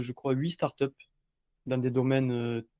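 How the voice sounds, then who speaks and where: This voice belongs to a man. It stays at a medium pitch. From southwestern France (Montauban). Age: 40s. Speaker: entrepreneur. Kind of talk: podcast interview. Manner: halting, many fillers.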